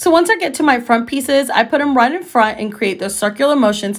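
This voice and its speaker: Music plays behind this woman. Her voice is high-pitched. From Costa Rica. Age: 20s. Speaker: freelance makeup artist. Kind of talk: casual beauty tutorial talk to camera.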